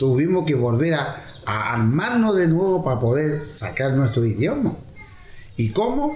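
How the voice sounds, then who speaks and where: With audible room echo and noticeable background noise, a man talks at a fairly slow pace and fairly high pitch, his voice swinging very widely in pitch. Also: very even loudness. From Easter Island (Rapa Nui), Chile. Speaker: dance company founder, cultural leader. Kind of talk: interview testimony.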